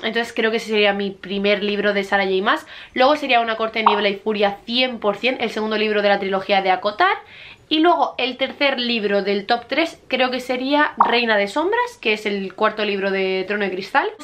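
A woman talks at a moderate pace. Her voice is fairly high-pitched with ordinary pitch variation. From Murcia, Spain. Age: 20s. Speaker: book YouTuber. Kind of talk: casual talk to camera. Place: home room. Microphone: camera far.

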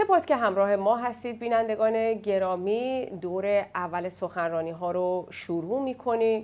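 A woman speaks at a fairly slow pace and a medium pitch with ordinary variation. She barely pauses. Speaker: TV program moderator. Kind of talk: moderated panel program. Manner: formal. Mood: calm, welcoming. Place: studio.

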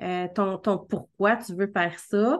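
A woman speaks with a Quebec accent. The background is quiet. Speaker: marketing coach and podcast host; marketing coach, podcast host. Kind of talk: casual interview. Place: home room. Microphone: video call.

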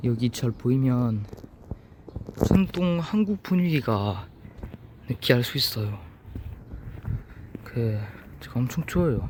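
Someone with a French accent speaks at a very slow pace, leaving long, frequent pauses. Noticeable background noise runs behind the voice. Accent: French accent in Korean. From France. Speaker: travel vlogger. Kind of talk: casual travel vlog talk to camera.

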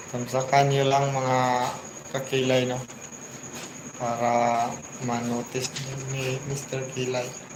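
Over noticeable background noise and audible room echo, a man speaks at a medium pitch and a very slow pace, with long, frequent pauses and monotone, flat intonation. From Mindanao, Philippines (Bisaya). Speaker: vlogger. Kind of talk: livestream shout-outs. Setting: live stream.

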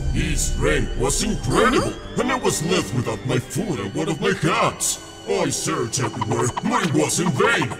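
Over loud music in the background, a man puts on a cartoonish character voice pitched high. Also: moderate pace. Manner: defensive, pleading.

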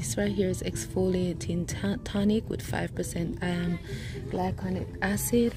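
A woman speaks very slowly in a dry recording with no echo, with noticeable background noise. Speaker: shopping vlogger. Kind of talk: casual vlog chat. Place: shop. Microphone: phone near.

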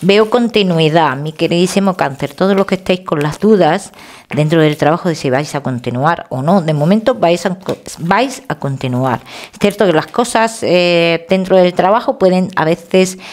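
The speech moves at a moderate pace. Its intonation is lively. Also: woman, fairly low pitch for a woman. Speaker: tarot reader. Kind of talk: tarot reading to camera. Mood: warm, reassuring. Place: home room. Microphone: headset.

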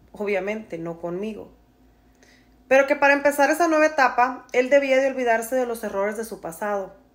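A woman speaks at a fairly quick pace in a high voice. Her tone is warm and animated, and her intonation is lively. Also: big swings in loudness. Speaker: storyteller. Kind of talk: storytelling, reading a follower's personal story aloud in first person. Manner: warm, conversational, empathetic and animated. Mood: dramatic, gossipy storytelling. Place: home room. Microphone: phone near.

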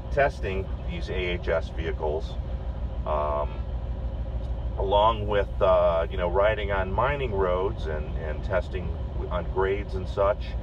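A man at a fairly slow pace, with noticeable background noise behind him. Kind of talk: commentary. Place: farm machine. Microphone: phone near.

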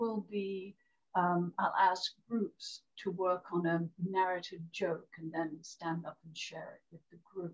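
Over a quiet background, a woman speaks at a very slow pace in a somewhat breathy voice. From Great Britain. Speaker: storyteller. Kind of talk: interview. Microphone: video call.

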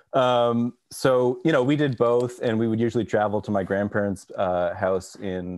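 Moderate pace in an American accent, with ordinary pitch variation against a quiet background. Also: man. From Texas. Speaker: orchestral clarinetist; podcast guest or host. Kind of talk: casual chat. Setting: video call. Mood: relaxed, friendly. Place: home room. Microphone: video call.

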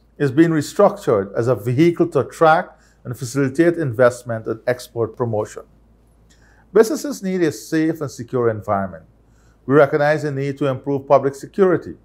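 A man's fairly quick speech comes through with a quiet background behind it. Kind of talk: formal address. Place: office.

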